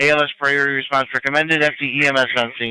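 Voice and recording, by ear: A man speaks at a very fast pace and a medium pitch, with little pitch movement. His tone is clear and smooth yet also bright and sharp.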